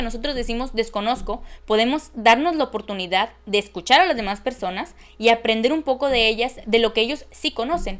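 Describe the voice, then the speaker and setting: The speaker is a woman with a fairly high pitch. She talks at a moderate pace with ordinary pitch variation. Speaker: oratory course instructor. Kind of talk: recorded lecture. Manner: variable pace.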